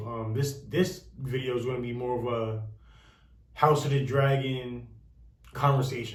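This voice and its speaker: A man speaks at medium pitch, somewhat breathy, with monotone, flat intonation. Audible room echo surrounds his voice. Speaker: youtuber discussing a tv series. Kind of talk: casual commentary to camera. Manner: halting, many fillers.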